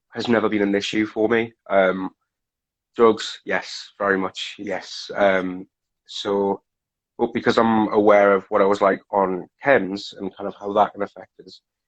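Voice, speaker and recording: In a Geordie accent, a man with a fairly low pitch talks at a fairly slow pace, flat and monotone in intonation but with big swings in loudness. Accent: northeast English (Geordie). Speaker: recovery facilitator, guest. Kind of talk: casual interview chat. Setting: Instagram live video stream.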